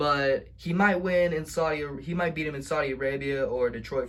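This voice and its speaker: A man's voice sits fairly high and sounds somewhat breathy. His pitch varies in an ordinary way. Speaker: wrestling video vlogger. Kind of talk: casual vlog recap. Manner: stuttering; animated.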